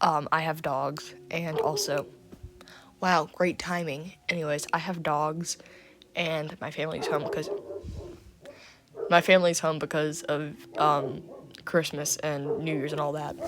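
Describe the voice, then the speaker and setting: Through noticeable background noise, the fairly slow speech is broken by long, frequent pauses. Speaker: youtuber. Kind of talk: casual rant to camera. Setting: at home. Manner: hesitant, many fillers.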